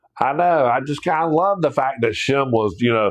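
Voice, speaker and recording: With ordinary pitch variation, this voice carries a Southern US accent. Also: man. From US South (South Georgia / North Florida). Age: 60s. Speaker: Bible teacher. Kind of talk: livestream Bible study. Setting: live stream. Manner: casual, animated.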